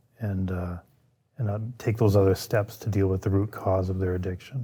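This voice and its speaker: Somewhat breathy, the man's voice carries a dark, mellow tone at a fairly low pitch. He speaks at a moderate pace with fairly even intonation. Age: 60s. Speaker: police sergeant. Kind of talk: podcast interview.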